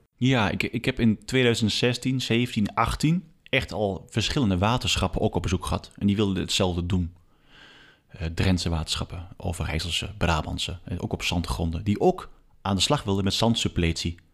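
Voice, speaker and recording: Speaking in a plain, everyday voice, a man keeps a moderate speed and ordinary pitch variation. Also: fairly low pitch for a man. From Achterhoek, eastern Netherlands. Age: 40s. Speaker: water authority advisor and stream specialist. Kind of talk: casual interview. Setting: at a kitchen table in his home.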